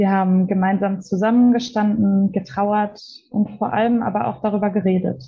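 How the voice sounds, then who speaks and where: Somewhat breathy delivery at a moderate pace with fairly even intonation. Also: woman, medium pitch for a woman. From Germany, Ruhr area (Witten). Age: 20s. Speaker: police officer. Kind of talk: interview.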